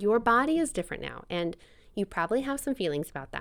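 A woman's voice moves in very wide pitch swings. It is a very clean recording with a silent background. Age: 40s. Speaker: podcast host, mother, former prenatal yoga teacher. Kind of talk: solo podcast monologue. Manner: conversational.

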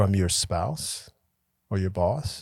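A man speaks at a very slow pace, recorded very cleanly against a silent background. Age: 70s. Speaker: podcast co-host and mindful life coach. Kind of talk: casual chat.

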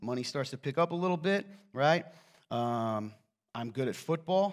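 A man speaks at a moderate pace and medium pitch. He talks with a slight Southern US accent. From US South, coal mining region; raised in northern Indiana. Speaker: pastor. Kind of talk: sermon. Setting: church with audience. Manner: casual, joking.

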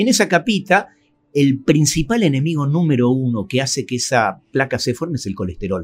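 His voice is fairly high and somewhat breathy, with very wide pitch swings. The man keeps a moderate pace. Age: 60s. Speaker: cardiologist. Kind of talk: interview. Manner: hesitant, many fillers.

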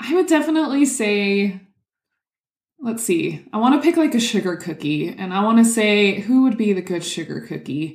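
A somewhat breathy woman's voice at a moderate pace, fairly high in pitch, with very wide pitch swings. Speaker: podcast co-host. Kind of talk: casual chat.

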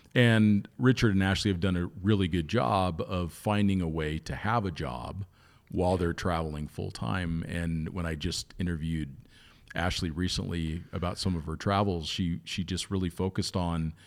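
A man with an American accent speaks with a very deep, low pitch and ordinary pitch variation. The recording is very clean, with a silent background. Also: moderate pace. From US East Coast. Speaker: podcast host. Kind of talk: casual chat.

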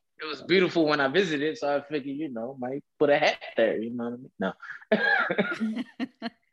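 Speaking at a fairly quick pace, a man with a fairly high pitch comes through dry and close with no echo. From US South, Nashville, Tennessee. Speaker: sommelier. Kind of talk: casual chat. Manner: animated.

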